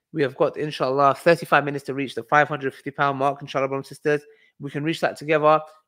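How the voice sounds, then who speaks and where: With a British accent, a man speaks very fast in a fairly high pitch and an animated tone. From UK, Kurdish heritage. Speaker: livestream host and fundraiser. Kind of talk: live stream fundraising and Q&A. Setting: livestream.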